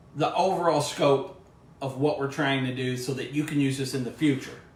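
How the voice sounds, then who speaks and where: There is audible room echo and noticeable background noise. A man talks at a moderate pace. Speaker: cooking show host, former cooking class teacher. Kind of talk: cooking tutorial. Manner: loud. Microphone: no microphone worn, echo.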